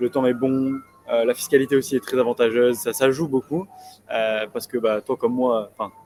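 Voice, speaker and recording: Over music in the background, a man of medium pitch talks at a moderate pace with ordinary pitch variation. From southern France (Nice). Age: 20s. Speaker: young entrepreneur. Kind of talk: casual interview chat. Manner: hesitant, many fillers.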